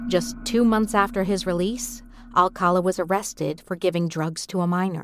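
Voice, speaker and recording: Woman at a moderate pace and medium pitch, ordinary pitch variation, music in the background. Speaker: narrator. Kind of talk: true-crime narration. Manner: measured, somber, steady storytelling pace.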